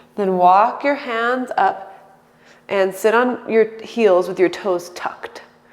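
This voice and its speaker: A woman speaks very slowly in a calm tone, her fairly high voice moving with ordinary pitch variation over noticeable background noise. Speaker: yoga instructor. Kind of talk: guided yoga class. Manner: calm, instructional.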